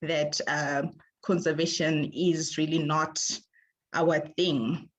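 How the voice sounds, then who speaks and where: A woman speaks very slowly at a fairly low pitch. The background is quiet. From Zimbabwe. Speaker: ecologist. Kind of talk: presentation. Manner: halting, many fillers.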